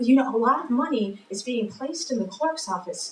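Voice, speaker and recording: A high-pitched woman's voice with very wide pitch swings, moderate pace, and noticeable background noise. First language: Spanish. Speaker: political candidate. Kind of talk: candidate forum answer.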